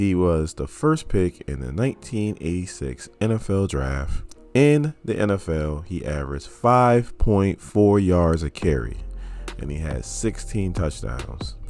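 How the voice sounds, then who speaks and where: A man's very deep, low voice with very wide pitch swings, at a fairly slow pace over music in the background. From US Midwest, Cleveland Ohio. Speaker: sports video creator. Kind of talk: scripted narration. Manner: fluent on camera.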